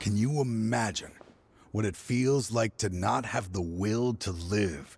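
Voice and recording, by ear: Putting on a character voice, a man talks slowly at a fairly low pitch with ordinary pitch variation, a slightly mellow tone, vocal fry and a slightly husky edge.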